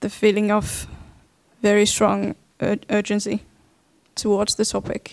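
Very slow speech in a Finnish accent, dry and close with no echo. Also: woman. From Finland. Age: 20s. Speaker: dance artist. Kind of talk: panel discussion. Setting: stage with live audience.

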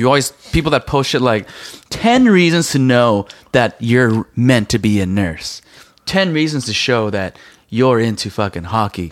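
Speaking at a moderate pace, a man with a normal speaking voice and medium pitch uses lively intonation. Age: 30s. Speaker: podcast co-host. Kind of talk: casual chat.

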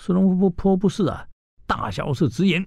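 Moderately paced male speech, somewhat breathy, with a dark, mellow tone. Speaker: radio history show host. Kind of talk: radio storytelling lecture. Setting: radio studio. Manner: animated, many filler particles.

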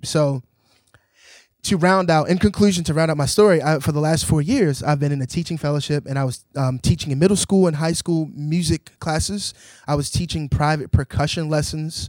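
A man with an American accent and a normal speaking voice, fairly high pitch, fairly even intonation and a fairly quick pace, on a very clean recording with a silent background. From Baltimore, US. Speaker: jazz drummer and educator. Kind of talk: interview.

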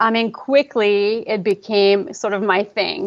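In a Quebec accent, a woman talks at a medium pitch. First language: French. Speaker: pre and postnatal fitness coach. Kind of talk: casual interview.

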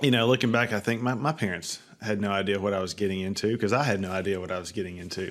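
A man with an Alabama accent talks at a very fast pace with hardly any pauses. His pitch is fairly low. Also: ordinary pitch variation. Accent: US Southern (Alabama). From North Alabama. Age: 30s. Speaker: pest control company CEO and nonprofit founder. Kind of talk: interview.

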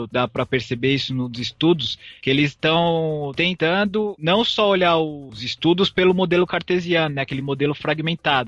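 This man has an unremarkable speaking voice, fairly high in pitch, with ordinary pitch variation. He talks at a moderate pace with hardly any pauses, and the sound is dry and close with no echo. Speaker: master's student in physiology. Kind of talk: podcast explanation.

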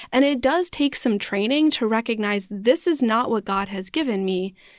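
A woman with an unremarkable speaking voice and an American accent, fairly high in pitch, with lively intonation, a fairly slow pace and a quiet background. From US Midwest (Wisconsin, partly Arizona). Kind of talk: casual faith conversation.

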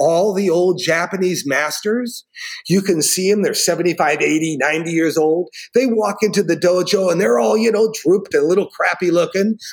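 This man, with an American accent and a high voice, speaks fairly slowly with lively intonation. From Northern California. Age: 60s. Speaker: martial arts instructor. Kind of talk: casual chat.

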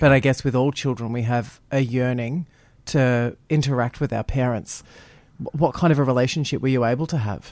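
A man with an Australian accent speaks at a moderate pace and a medium pitch, with fairly even intonation. The recording is very clean with a silent background. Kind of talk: radio interview.

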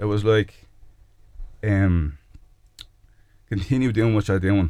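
Dark, mellow male voice in an Irish accent. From Ireland, Kildare. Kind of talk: faith testimony interview. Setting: radio studio. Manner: halting, many repetitions and fillers; meek, humble.

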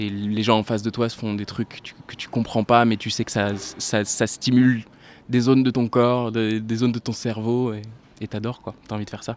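Speaking at a moderate pace and medium pitch, a man keeps a monotone, flat intonation while his loudness swings widely. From France, La Rochelle. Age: 20s. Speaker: singer-songwriter. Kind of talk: interview.

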